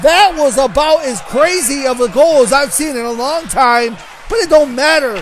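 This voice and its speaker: A loud, animated man with an American accent, extremely high-pitched, with lively intonation at a moderate pace over noticeable background noise. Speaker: hockey play-by-play announcer. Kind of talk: live commentary. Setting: ice rink.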